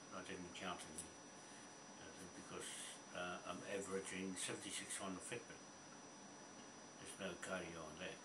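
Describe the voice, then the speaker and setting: Loud background noise surrounds the recording. A man speaks at a moderate pace. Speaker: gym-going retiree. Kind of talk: casual talk to camera. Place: home room. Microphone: webcam.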